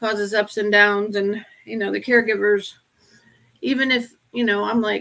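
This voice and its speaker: A woman's medium-pitched voice in an American accent, monotone and flat, at a moderate pace with long, frequent pauses. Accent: Appalachian accent, mostly covered up. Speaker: podcast co-host with Parkinson's. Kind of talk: casual chat.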